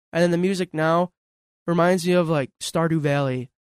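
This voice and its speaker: A man's normal speaking voice at fairly high pitch and a moderate pace with an American accent, in dry, close sound with no echo. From Western New York, North Tonawanda area. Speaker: local theater actor. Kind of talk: casual chat.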